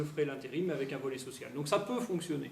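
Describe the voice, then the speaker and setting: Over noticeable background noise and audible room echo, a man talks at a very fast pace with ordinary pitch variation. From France, Allier (Domérat near Montluçon). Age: 40s. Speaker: parliamentary candidate. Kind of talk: campaign speech at public meeting.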